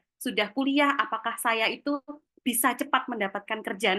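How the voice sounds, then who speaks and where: A woman's fairly high pitch and fairly quick pace in a Javanese accent, with ordinary pitch variation. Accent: Javanese (medok). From Java, Yogyakarta. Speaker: webinar speaker on career skills. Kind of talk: webinar talk. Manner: casual, chatty.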